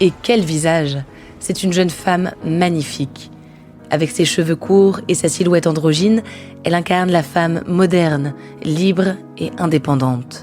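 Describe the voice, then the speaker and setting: Against music in the background, a woman speaks at a fairly slow pace and fairly low pitch, with long, frequent pauses. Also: ordinary pitch variation. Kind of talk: documentary narration.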